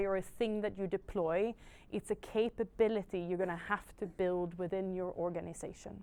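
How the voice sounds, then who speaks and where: A woman with a Swedish accent on a very clean recording with a silent background. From Sweden. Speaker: technology industry panelist. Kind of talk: panel discussion. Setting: in-person event with audience.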